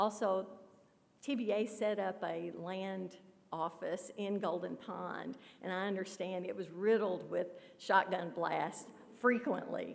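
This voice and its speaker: Through noticeable background noise, a woman with a Kentucky accent speaks fairly slowly with fairly even intonation. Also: medium pitch for a woman. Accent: Kentucky Southern US. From western Kentucky, Paducah. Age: 60s. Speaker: author. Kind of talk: Q&A after a talk. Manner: hesitant, with fillers.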